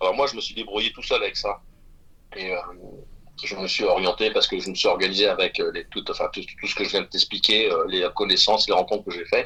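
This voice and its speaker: A man speaks very rapidly while noticeable background noise carries on behind him. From Brittany, France. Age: 60s. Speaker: private chef. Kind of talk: podcast interview. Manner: halting, many fillers.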